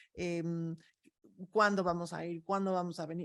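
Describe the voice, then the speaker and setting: A woman's fairly low pitch at a fairly slow pace. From Mexico. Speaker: expert on migrant families. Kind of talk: talk answering audience questions.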